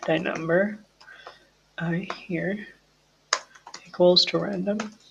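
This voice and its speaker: A man's high-pitched voice at a very slow pace, monotone and flat, with audible room echo and noticeable background noise. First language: not English. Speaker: programming tutor. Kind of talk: coding tutorial. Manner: halting, self-correcting.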